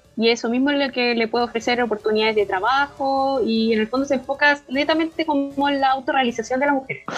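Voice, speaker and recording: Talking at a very fast pace with hardly any pauses, a woman keeps a high pitch, ordinary pitch variation and very even loudness. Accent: Chilean. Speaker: podcast co-host. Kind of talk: casual chat.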